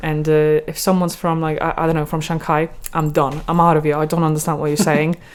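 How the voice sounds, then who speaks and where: A woman with a Polish accent speaks at a very fast pace in a very deep, low voice. Her intonation is monotone and flat. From Poland. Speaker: podcast guest, language learner. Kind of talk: casual chat.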